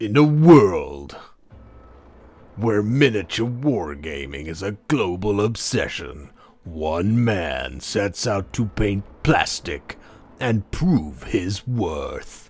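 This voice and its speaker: At a very slow pace, a man performs a put-on character voice with a fairly low pitch. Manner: dramatic, cinematic.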